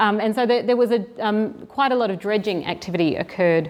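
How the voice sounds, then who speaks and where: Talking at a fairly quick pace, a woman with a slight Australian accent uses a medium pitch and ordinary pitch variation. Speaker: marine restoration program director. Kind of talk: seminar presentation. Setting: venue with live audience. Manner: halting, many fillers.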